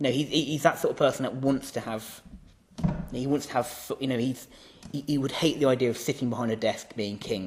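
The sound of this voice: The voice reads in an unforced way.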